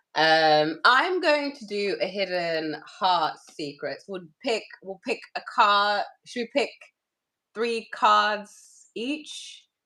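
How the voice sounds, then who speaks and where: Speaking very slowly in a British accent, a woman has a bright, sharp tone and a medium pitch. Her pitch swings very widely and her loudness rises and falls a great deal. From UK. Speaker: tarot reader. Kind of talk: casual chat with tarot reading. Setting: live stream with co-host. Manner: casual, chatty.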